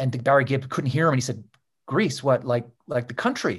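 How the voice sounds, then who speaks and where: Somewhat breathy and fairly high-pitched, a man with a Canadian accent talks at a fairly quick pace. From Canada. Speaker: author and journalist. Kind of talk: interview.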